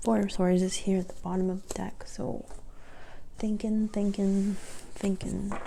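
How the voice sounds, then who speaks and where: Speech comes at a moderate pace. The delivery is soft-spoken. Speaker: tarot reader. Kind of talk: tarot reading.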